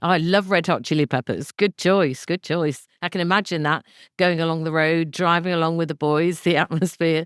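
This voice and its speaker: With a normal speaking voice and a fairly low pitch, a woman talks at a moderate pace with fairly even intonation, recorded dry and close with no echo on a very clean recording against a silent background. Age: 60s. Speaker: podcast host. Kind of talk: podcast interview questions.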